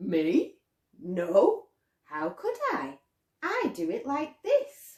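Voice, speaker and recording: A put-on character voice from a woman, high-pitched, at a very slow pace with long, frequent pauses. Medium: read story.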